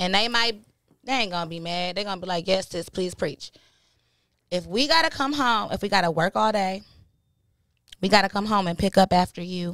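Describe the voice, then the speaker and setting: A woman at a medium pitch and fairly quick pace, with ordinary pitch variation and long, frequent pauses, in a dry sound with no echo over a quiet background. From Michigan, Ann Arbor; Michigan. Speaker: podcast host. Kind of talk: casual chat. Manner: animated. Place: studio. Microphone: studio mic.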